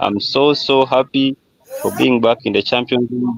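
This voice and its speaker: In a Ugandan accent, a man speaks at a moderate pace. The sound is dry and close, with no echo. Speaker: football fan on a livestream call. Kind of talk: casual chat.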